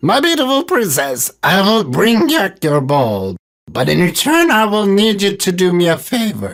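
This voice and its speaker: A croaky, put-on character voice sits at middle pitch. It moves at a moderate pace. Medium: read story. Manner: polite, croaks "ribbit".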